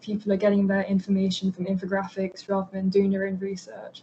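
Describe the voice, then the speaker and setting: Somewhat breathy and in a London accent, the voice moves at a fairly quick pace. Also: woman. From north London. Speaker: university student. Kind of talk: interview.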